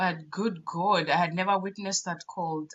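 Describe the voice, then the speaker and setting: With a Ugandan accent, a woman talks in an animated tone at medium pitch. She keeps a moderate pace and ordinary pitch variation. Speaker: podcast co-host. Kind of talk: casual chat.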